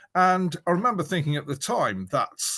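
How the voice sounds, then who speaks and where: A man talks at a moderate pace with vocal fry. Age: 60s. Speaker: archaeologist. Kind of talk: panel discussion. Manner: halting.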